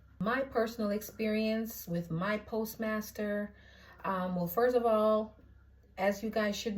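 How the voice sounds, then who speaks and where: Somewhat breathy and at medium pitch, a woman speaks with a Jamaican accent at a fairly slow pace, her intonation fairly even. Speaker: postal clerk vlogger. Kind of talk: casual vlog. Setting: indoors at her mother's house in Jamaica.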